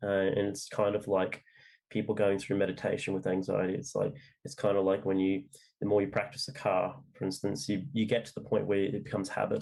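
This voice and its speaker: A man's fairly low voice at a fairly quick pace. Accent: Australian. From Australia. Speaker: novelist. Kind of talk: interview. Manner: halting, many fillers.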